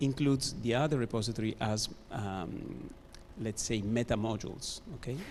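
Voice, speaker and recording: A man speaks with an Italian accent at a moderate pace. His pitch is medium, with ordinary variation. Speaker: conference audience member asking a question. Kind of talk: Q&A question.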